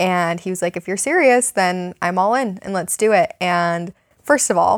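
A woman with an unremarkable speaking voice at a moderate pace, ordinary pitch variation, in a very clean recording with a silent background. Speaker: podcast host. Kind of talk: casual chat. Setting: basement home recording.

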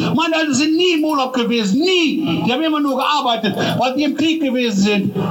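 In an animated tone, a man with an extremely high pitch speaks at a moderate pace with ordinary pitch variation, with audible room echo and noticeable background noise behind him. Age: 50s. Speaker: farmer. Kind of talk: protest speech.

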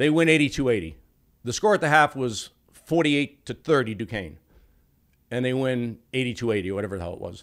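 Over a silent background in a very clean recording, a man in a plain, everyday voice talks at a moderate pace, medium pitch and lively intonation. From Massachusetts, Boston area. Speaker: professional sports bettor. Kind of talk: casual chat.

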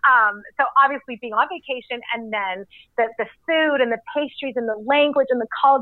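A high-pitched woman with a Canadian accent, an animated tone, ordinary pitch variation and a moderate pace. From Canada. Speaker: entrepreneur and health advocate. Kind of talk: interview conversation.

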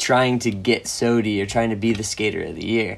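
A man speaks in an ordinary speaking voice at a medium pitch with fairly even intonation. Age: 20s. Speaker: professional skateboarder. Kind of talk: casual interview.

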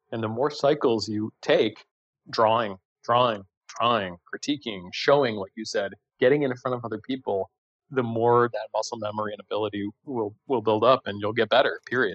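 A man with medium pitch, fairly even intonation, a moderate pace and an unremarkable speaking voice. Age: 40s. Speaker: design educator and author. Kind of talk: casual interview chat.

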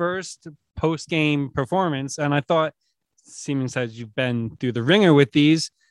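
In a dry, close sound with no echo, a man with a plain, everyday voice speaks at a fairly high pitch and a moderate pace, showing ordinary pitch variation. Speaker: podcast producer.

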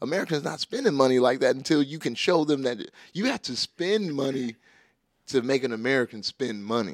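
Fairly quick and animated, the voice has lively intonation, captured in a very clean, dry, close recording with no echo and a silent background. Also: man, fairly high pitch for a man. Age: 30s. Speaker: rapper. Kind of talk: casual chat.

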